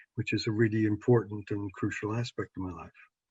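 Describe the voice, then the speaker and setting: Somewhat breathy and fairly quick, a man's voice comes through with a dry, close sound and no echo. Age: 70s. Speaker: psychologist and sex therapist. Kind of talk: podcast interview.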